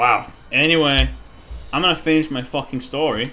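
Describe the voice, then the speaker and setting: A man amid noticeable background noise. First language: Danish. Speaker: gaming streamer. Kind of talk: casual gameplay commentary. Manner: halting.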